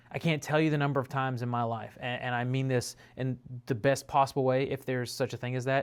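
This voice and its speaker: A man talks at a very fast pace. His medium pitch stays in monotone, flat intonation. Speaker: preacher. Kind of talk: devotional talk.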